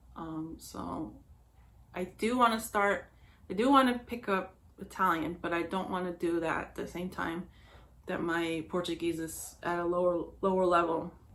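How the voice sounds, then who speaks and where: At a moderate pace, a woman talks in a fairly low pitch with ordinary pitch variation. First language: Spanish. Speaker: knitting podcaster. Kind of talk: casual chat. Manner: halting, many fillers.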